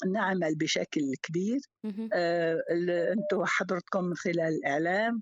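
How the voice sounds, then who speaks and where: Here a woman has an unremarkable speaking voice at a medium pitch. She talks at a fairly slow pace. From Syria. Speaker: teacher. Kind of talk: casual chat.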